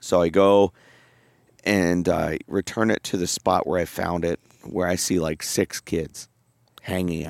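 A man's very deep, low, monotone voice with flat intonation, a fairly slow pace and long, frequent pauses, dry and close with no echo on a very clean recording with a silent background. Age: 30s. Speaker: podcast co-host and father. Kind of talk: casual chat.

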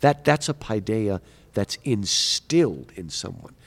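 Recorded very cleanly with a silent background and a dry, close sound with no echo, a man with an unremarkable speaking voice uses a fairly low pitch and lively intonation. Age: 50s. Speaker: professor. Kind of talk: interview. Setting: conference.

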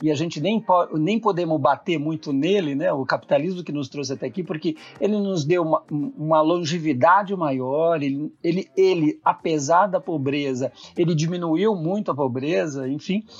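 At a moderate pace, a man speaks in a fairly high pitch with a plain, everyday voice. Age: 60s. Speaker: psychologist and consultant. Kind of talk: casual chat.

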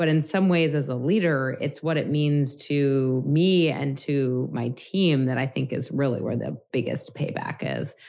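Speaking with an American accent and hardly any pauses, a woman uses a very deep, low pitch with ordinary pitch variation. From New York City. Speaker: company executive. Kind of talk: interview conversation. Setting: video call from home.

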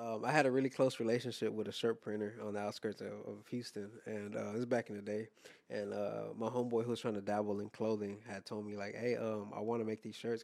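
A man speaks in a fairly low pitch at a very fast pace. His intonation is monotone and flat, and he leaves hardly any pauses. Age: 30s. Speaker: director, designer and photographer. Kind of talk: casual chat. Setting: studio.

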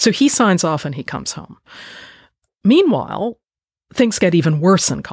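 A woman with an American accent speaks at a moderate pace, her fairly low voice swinging very widely in pitch. There is vocal fry, and she takes long, frequent pauses. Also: big swings in loudness. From United States. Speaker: historian and author. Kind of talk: interview.

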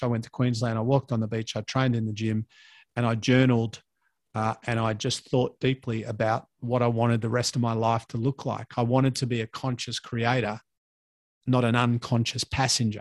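With an Australian accent, a man speaks at a medium pitch and moderate pace in monotone, flat intonation, recorded dry and close with no echo. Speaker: fitness entrepreneur and podcaster. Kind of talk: casual chat.

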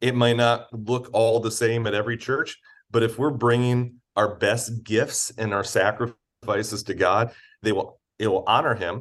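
Monotone, flat intonation at a fairly slow pace against a quiet background. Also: man, medium pitch for a man. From Michigan, Detroit area until 12, then Missouri. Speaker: charity executive and former campus pastor. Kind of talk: casual interview.

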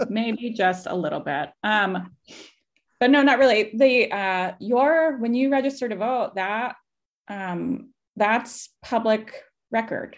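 A woman with a fairly high pitch and ordinary pitch variation talks at a very slow pace. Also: quiet background. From Kansas, US Midwest. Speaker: voter organization director. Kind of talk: casual interview chat.

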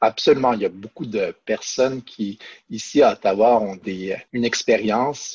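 With an ordinary speaking voice, a man talks at a moderate pace with fairly even intonation, in a dry, close sound with no echo. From Quebec City. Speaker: law professor. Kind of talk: podcast interview.

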